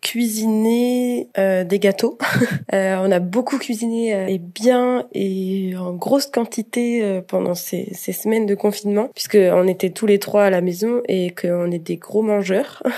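A woman talks at a very slow pace with ordinary pitch variation. Noticeable background noise runs underneath. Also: medium pitch for a woman. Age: 20s. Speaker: university student. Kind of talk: casual interview. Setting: remote call recording. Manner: hesitant, frequent fillers.

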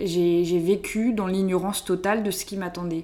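A woman speaks very slowly in a southern French accent. Her pitch varies in an ordinary way. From southern France, Hérault. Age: 20s. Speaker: student, association founder. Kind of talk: casual interview. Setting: at home.

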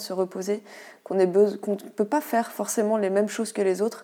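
On a very clean recording with a silent background, a woman talks at a fairly high pitch with a dark, mellow tone and fairly even intonation. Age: 30s. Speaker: endometriosis patient sharing her experience. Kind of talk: interview testimony.

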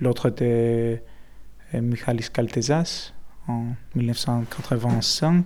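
Over noticeable background noise, a man with a Greek accent speaks at a very slow pace with long, frequent pauses, using a medium pitch and ordinary pitch variation. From Greece. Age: 30s. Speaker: activist. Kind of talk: interview. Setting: apartment in Athens. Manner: halting.

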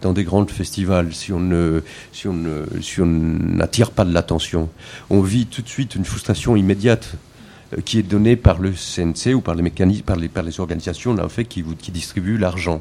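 Ordinary pitch variation in a dark, mellow tone. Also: man, very deep, low pitch for a man, moderate pace. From Colombia. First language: Spanish (speaking French). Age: 40s. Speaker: filmmaker. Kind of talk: panel discussion.

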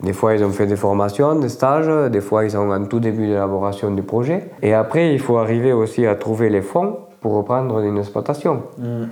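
A man with a plain, everyday voice and medium pitch talks at a moderate pace. He leaves hardly any pauses. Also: ordinary pitch variation. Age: 50s. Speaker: farmer. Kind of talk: interview.

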